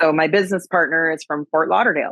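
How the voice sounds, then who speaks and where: A woman's very deep, low voice with fairly even intonation, in a Wisconsin accent. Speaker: agriculture advocate and keynote speaker. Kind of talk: podcast interview. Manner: casual, with many fillers.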